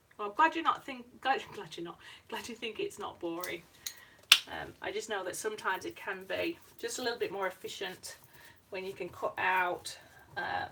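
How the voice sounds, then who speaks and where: A woman at a moderate pace with long, frequent pauses and noticeable background noise. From northern England, Yorkshire. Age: 40s. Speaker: artist. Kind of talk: live-streamed painting tutorial. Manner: hesitant, many fillers.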